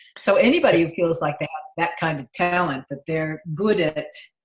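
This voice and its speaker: A woman talks at a moderate pace in a fairly low, somewhat breathy voice. Her pitch varies in an ordinary way. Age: 60s. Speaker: client giving testimonial. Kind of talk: testimonial interview. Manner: animated.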